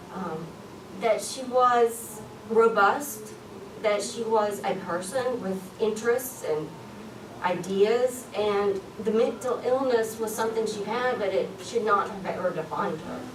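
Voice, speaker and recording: A woman's fairly high voice with a strong Southern US accent, ordinary pitch variation and a fairly slow pace, amid audible room echo and noticeable background noise. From US South. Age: 30s. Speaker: public policy coordinator and conference speaker. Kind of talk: conference talk.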